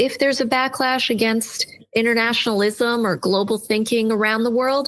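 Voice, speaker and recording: This is a woman speaking. Her pitch sits fairly high. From United States (immigrant as small child). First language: not English. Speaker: education and leadership consultant. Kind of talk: podcast interview.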